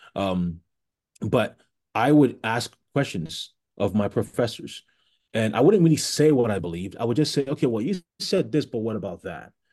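A man with a dark, mellow tone talks at a moderate pace with lively intonation against a quiet background. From Ghana. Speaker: blogger and public speaker. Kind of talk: interview conversation.

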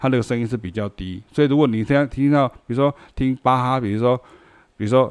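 A man talks at a medium pitch with ordinary pitch variation. The background is quiet. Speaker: music teacher. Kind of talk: casual lecture. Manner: conversational.

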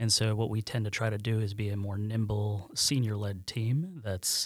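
In an American accent, a man with a fairly low pitch sounds somewhat breathy on a very clean recording with a silent background. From central New York, near Syracuse. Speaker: management consultant and company co-founder. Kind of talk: casual interview.

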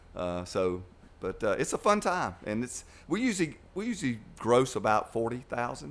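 With an Alabama accent, a man talks at a moderate pace and a medium pitch. His pitch swings very widely. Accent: Southern US (Alabama). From US South, Dothan, Alabama. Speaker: youth club director. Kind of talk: casual chat. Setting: studio.

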